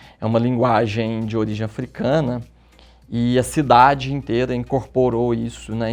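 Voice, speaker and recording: A man speaks against a quiet background. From Minas Gerais, Brazil (Bom Despacho). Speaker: therapist and journalist. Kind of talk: interview.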